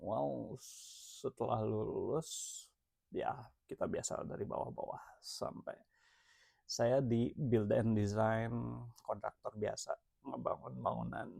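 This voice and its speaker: The speech comes at a fairly slow pace. Long, frequent pauses break it up. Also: man. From Jakarta, Indonesia. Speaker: entrepreneur vlogger. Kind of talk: casual self-introduction vlog. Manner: relaxed, casual; hesitant, many fillers.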